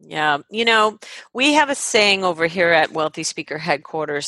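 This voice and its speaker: Over a quiet background, a woman speaks at a moderate pace in a bright, sharp tone. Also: dry, close sound with no echo. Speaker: podcast host. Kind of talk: interview, casual chat. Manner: warm, enthusiastic.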